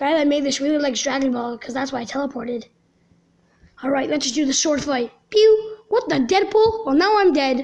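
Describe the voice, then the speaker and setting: A put-on character voice, high-pitched and at a fairly quick pace. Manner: casual, jokey.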